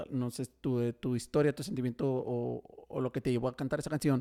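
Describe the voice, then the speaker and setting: The speaker is a man with an unremarkable speaking voice at medium pitch. The sound is dry and close, with no echo. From Mexico, Tijuana. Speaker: podcast host. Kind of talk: casual chat. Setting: studio.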